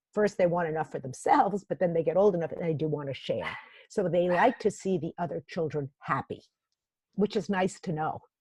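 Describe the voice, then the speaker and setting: A woman at a fairly quick pace, somewhat breathy, with ordinary pitch variation and a dry, close sound with no echo. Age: 60s. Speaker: executive coach and author. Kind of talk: interview.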